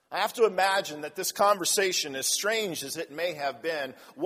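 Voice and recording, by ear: The text is read aloud in a natural voice, and the intonation is lively.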